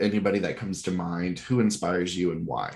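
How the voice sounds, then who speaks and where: A man with an American accent, an unremarkable speaking voice, and fairly even intonation. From US South, Georgia. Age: 20s. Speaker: podcast host. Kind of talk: casual interview.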